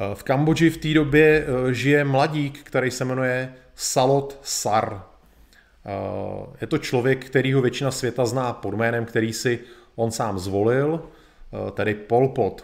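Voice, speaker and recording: Very slow speech with ordinary pitch variation. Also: man, medium pitch for a man. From Czech Republic. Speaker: live streamer, history presenter. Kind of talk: educational lecture. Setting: live video stream.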